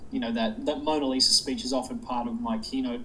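A man talks at a very fast pace with an Australian accent. Noticeable background noise runs underneath. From Sydney, Australia. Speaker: public speaker. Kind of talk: casual interview chat.

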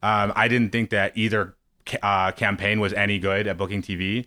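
A man's fairly low, bright, sharp voice with an American accent and monotone, flat intonation, in a very clean recording with a silent background. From Missouri, US Midwest. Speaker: former political TV booker. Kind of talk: casual interview.

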